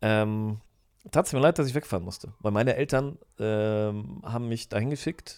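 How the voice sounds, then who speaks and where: On a very clean recording with a silent background, a man with a plain, everyday voice speaks at a fairly low pitch and a moderate pace with lively intonation. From Germany, moved from Poland as a small child. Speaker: podcast guest, host's brother-in-law. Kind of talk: casual chat.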